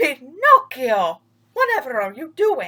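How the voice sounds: A woman uses a put-on character voice, high-pitched with a bright, sharp tone. She speaks slowly with very wide pitch swings.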